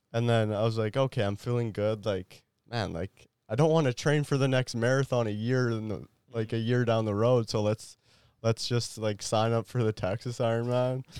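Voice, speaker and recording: On a very clean recording with a silent background and a dry, close sound with no echo, a man speaks in a plain, everyday voice at a medium pitch and moderate pace, his intonation fairly even. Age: 20s. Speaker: athlete and entrepreneur. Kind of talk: casual interview chat. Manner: casual, filler-heavy.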